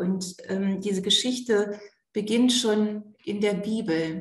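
A woman's very slow speech at a medium pitch with fairly even intonation and audible room echo. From Germany, East Frisia. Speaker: pastor. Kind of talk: interview.

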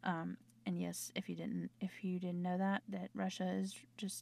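A woman in a Southern US accent at a moderate pace. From US South. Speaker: podcast host. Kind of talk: casual chat. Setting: home recording. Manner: chatty.

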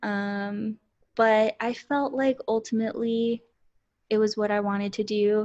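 A woman speaks with an American accent at a fairly high pitch. Her intonation is monotone and flat. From Central Texas, US. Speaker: counselor, podcast host. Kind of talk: casual chat.

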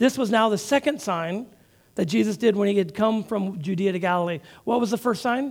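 Ordinary pitch variation runs through an unforced reading voice here.

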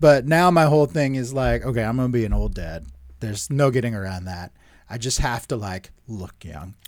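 At a fairly quick pace, a man with a medium pitch and a plain, everyday voice swings widely in loudness, recorded very cleanly over a silent background. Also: lively intonation. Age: 30s. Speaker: sports podcast co-host. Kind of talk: casual chat. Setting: studio.

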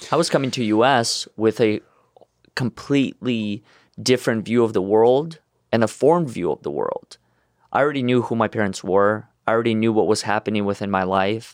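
A man in a Russian accent talks at a fairly quick pace and medium pitch with ordinary pitch variation, in a dry, close sound with no echo. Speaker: motivational speaker. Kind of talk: interview.

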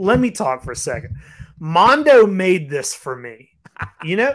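With very wide pitch swings, a man speaks high and in an animated tone. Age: 30s. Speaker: podcast co-host, toy collector. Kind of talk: casual chat.

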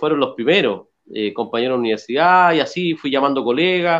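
Against a quiet background, a man with a normal speaking voice uses lively intonation at a fairly high pitch. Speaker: regional party president. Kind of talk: casual chat.

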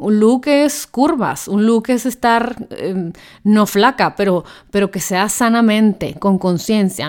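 On a very clean recording with a silent background, a woman speaks in an animated tone at a fairly slow pace, with a medium pitch and ordinary pitch variation. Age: 30s. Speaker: podcast host. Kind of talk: casual monologue.

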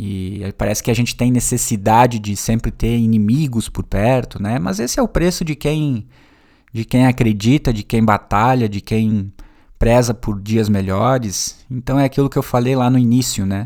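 A man speaks at a moderate pace with a medium pitch, ordinary pitch variation, and a dark, mellow tone. The recording is very clean, with a silent background. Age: 30s. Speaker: podcast host and teacher. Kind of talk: solo podcast monologue. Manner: casual and conversational.

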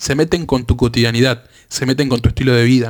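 A man talking at a very fast pace. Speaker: student political group member. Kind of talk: interview.

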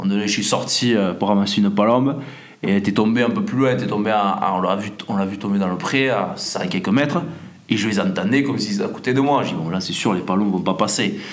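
Noticeable background noise and audible room echo accompany a man who talks at a fairly quick pace and fairly low pitch with ordinary pitch variation. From France. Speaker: hunting podcast host. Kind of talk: casual monologue. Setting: indoors at home. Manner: halting, many repetitions.

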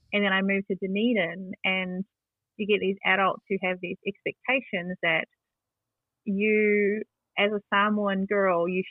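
With a New Zealand accent, a woman speaks at a fairly slow pace. Her intonation is monotone and flat, broken by long, frequent pauses. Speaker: community advocate and youth radio presenter. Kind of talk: interview conversation. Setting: at home.

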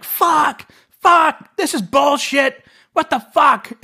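In a put-on character voice with a high pitch, the speaker hisses at a very slow pace in a very clean recording with a silent background. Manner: hissy fit, angry.

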